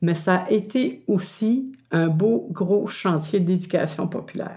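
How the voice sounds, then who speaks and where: The woman's voice has a dark, mellow tone. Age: 60s. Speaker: retired community activist and storyteller. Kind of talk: interview testimony.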